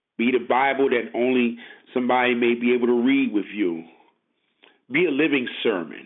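Someone with an American accent speaks at very even loudness and ordinary pitch variation, leaving long, frequent pauses amid audible room echo. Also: man, medium pitch for a man, moderate pace. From Brooklyn, New York City. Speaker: lay preacher. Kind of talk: sermon. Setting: phone call.

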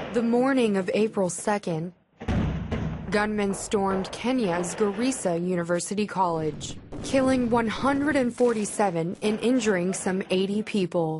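Over noticeable background noise, a woman talks at a very slow pace in a medium pitch with ordinary pitch variation. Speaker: news reader. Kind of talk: news reading.

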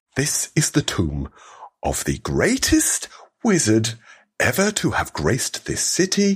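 A man's put-on character voice, hissing, at a fairly slow pace. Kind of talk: stern, commanding. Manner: menacing, hissing.

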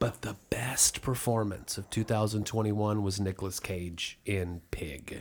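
Fairly slow and fairly even in intonation, a man with a fairly low pitch and an unremarkable speaking voice comes through in a very clean recording with a silent background. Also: hardly any pauses. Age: 50s. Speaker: podcast co-host. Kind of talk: casual chat.

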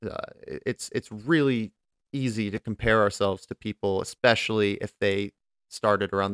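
A man with an American accent talks at a moderate pace, his pitch fairly low with ordinary variation. The recording is very clean, with a silent background and a dry, close sound with no echo. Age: 20s. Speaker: podcast host and competitive gamer. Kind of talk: solo podcast monologue.

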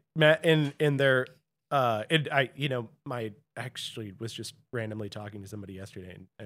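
A man with an American accent talks at a fairly quick pace in a plain, everyday voice with ordinary pitch variation, on a very clean recording with a silent background. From US Midwest, St. Louis. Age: 30s. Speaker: podcast guest. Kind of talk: casual chat.

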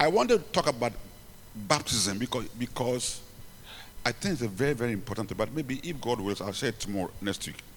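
Speaking with a Ghanaian accent, a man at medium pitch uses lively intonation and a fairly quick pace, with long, frequent pauses. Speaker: preacher and bishop. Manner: animated, repetitive, halting at times.

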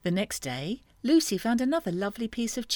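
A natural reading voice carries through the clip.

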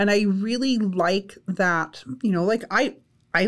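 A woman with a Canadian accent has a plain, everyday voice at a medium pitch with ordinary pitch variation. The recording is very clean, with a silent background. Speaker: college instructor. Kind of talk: casual interview.

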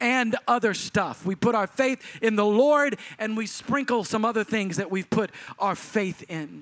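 With a Texan accent, a man speaks at a high pitch and a moderate pace. The sound is dry and close with no echo, and his pitch variation is ordinary. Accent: Texan Southern US. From Texas. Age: 40s. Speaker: pastor. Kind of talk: sermon, charismatic preacher exhorting the congregation. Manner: emphatic, urgent exhortation in short punchy imperatives; rhythmic, building intensity.

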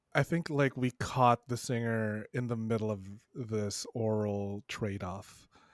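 In a very clean recording with a silent background and a dry, close sound with no echo, a man talks fairly slowly. He has an ordinary speaking voice, a medium pitch and ordinary pitch variation. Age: 30s. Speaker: sex educator podcaster. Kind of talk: casual chat.

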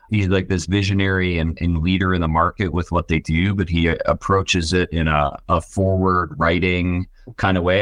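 Against a quiet background, a man with an American accent speaks in a very deep, low pitch. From Buffalo, New York. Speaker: tech company CEO and founder. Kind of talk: interview.

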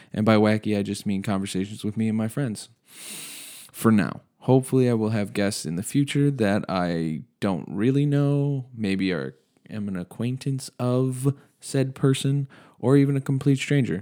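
A man with a normal speaking voice, medium pitch and lively intonation, at a moderate pace, in a very clean recording with a silent background. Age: 20s. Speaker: podcast host. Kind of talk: casual monologue.

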